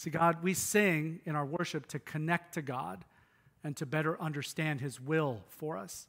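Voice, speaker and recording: A man's plain, everyday voice, fairly high in pitch with ordinary variation, at a moderate pace in a very clean recording with a silent background. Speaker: pastor. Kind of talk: sermon. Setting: church.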